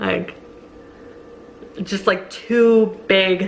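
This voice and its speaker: Speech comes at a very slow pace. Noticeable background noise sits behind it. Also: woman. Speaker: vlogger. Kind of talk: casual vlog. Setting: at home, kitchen. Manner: casual, filler-heavy.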